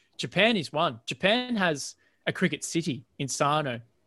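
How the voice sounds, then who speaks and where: A man speaks with an Australian accent. The sound is dry and close with no echo, on a very clean recording with a silent background. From Australia, Central Coast of New South Wales. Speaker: cricket content creator. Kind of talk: podcast interview. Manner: animated.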